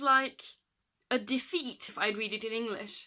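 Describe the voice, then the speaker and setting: Raising and projecting her voice, a woman speaks at a moderate pace with a bright, sharp tone and fairly even intonation. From Norway. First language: Norwegian. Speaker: book vlogger. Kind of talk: casual vlog monologue.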